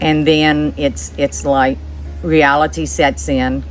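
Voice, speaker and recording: A woman speaks with music in the background and audible room echo. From New Orleans, Louisiana. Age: 60s. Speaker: widow sharing life story. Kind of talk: interview, personal testimony. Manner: halting, with fillers and repeats.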